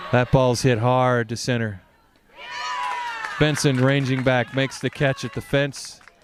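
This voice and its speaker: There is noticeable background noise behind this man. He speaks at a medium pitch and a moderate pace with fairly even intonation. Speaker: parent softball commentator. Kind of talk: live commentary. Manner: soft-spoken; casual.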